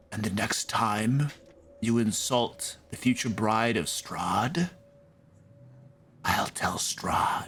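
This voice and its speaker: A man whispers in a put-on character voice at a very slow pace. Long pauses come often. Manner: menacing, quiet whisper.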